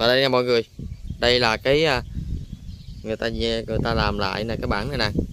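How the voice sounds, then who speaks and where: A man at a fairly slow pace with long, frequent pauses and fairly even intonation, dry with no echo, over noticeable background noise. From Vietnam. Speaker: travel vlogger; vlogger touring a memorial site. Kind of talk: vlog walking tour narration. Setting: outdoors at a memorial site and museum. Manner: halting, many fillers. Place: open country. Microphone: phone near.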